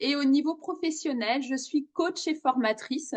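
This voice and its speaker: A woman talks very slowly, her voice pitched high. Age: 40s. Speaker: coach and trainer. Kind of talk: self-presentation video.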